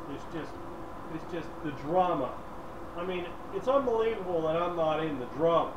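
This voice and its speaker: Over noticeable background noise, a man with a high voice talks at a moderate pace with ordinary pitch variation and long, frequent pauses. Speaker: co-host. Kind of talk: casual chat. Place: home room.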